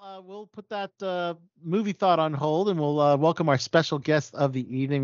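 A man talks with lively intonation. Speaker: podcast host. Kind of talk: casual interview. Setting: video call. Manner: animated.

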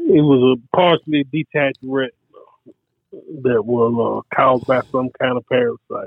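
This is a plain, everyday voice: a man at a medium pitch with fairly even intonation. He speaks at a moderate pace. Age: 50s. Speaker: host's husband. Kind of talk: casual chat.

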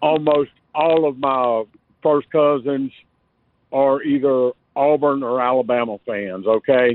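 A man with a Southern US accent talks at a fairly slow pace and medium pitch. His intonation is fairly even, with long, frequent pauses. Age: 50s. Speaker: caller, electrician. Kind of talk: radio call-in.

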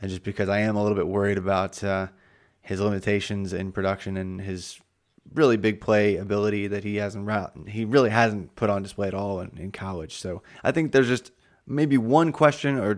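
A speaker with an American accent talks at a fairly quick pace, with ordinary pitch variation. The recording is very clean, with a silent background. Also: man. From Indiana, US Midwest. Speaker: fantasy football analyst. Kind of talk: podcast discussion. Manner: halting, many fillers and repeats.

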